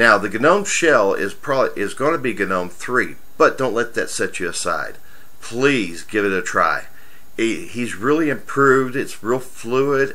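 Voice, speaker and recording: The voice comes at a fairly slow pace with audible room echo. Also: man. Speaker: tech reviewer. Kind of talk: software review tutorial. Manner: casual.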